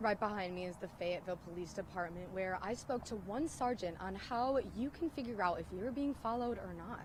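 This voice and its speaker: A woman talks at a fairly quick pace with hardly any pauses, her medium-pitched voice somewhat breathy and her intonation lively. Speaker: TV news reporter. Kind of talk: TV news report.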